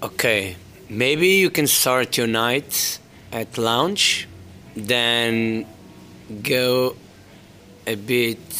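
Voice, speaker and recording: Noticeable background noise behind a man at medium pitch, with ordinary pitch variation, a very slow pace, and long, frequent pauses. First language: Portuguese. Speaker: DJ and music entrepreneur. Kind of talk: interview.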